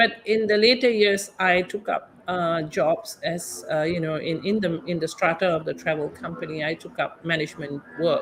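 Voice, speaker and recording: Noticeable background noise behind a woman's fairly low voice at a moderate pace, with ordinary pitch variation and hardly any pauses. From Malaysia. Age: 60s. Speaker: tour guide. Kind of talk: interview. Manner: halting.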